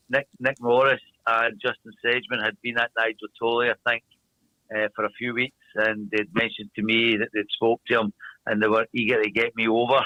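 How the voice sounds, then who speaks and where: A man in a strong Glaswegian accent, medium pitch, moderate pace, flat monotone intonation and very even loudness. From Scotland, Glasgow. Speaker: speedway team manager. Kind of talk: interview.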